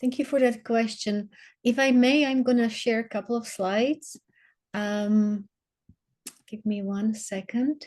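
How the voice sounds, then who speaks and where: A woman's fairly high voice with a Slovak accent, fairly slow, with long, frequent pauses. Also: fairly even intonation. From Slovakia. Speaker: water advocate. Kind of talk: webinar presentation. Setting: video call. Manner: halting, many fillers.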